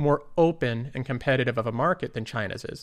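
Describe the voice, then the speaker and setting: Heard in a very clean recording with a silent background, a man with an ordinary speaking voice talks at a moderate pace and medium pitch, with ordinary pitch variation. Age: 20s. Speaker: investing YouTuber. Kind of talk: casual solo commentary.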